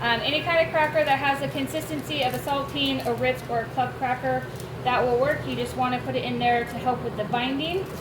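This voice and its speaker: A woman talks at a fairly quick pace. There is audible room echo and noticeable background noise. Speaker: homestead cooking vlogger. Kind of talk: cooking tutorial. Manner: loud.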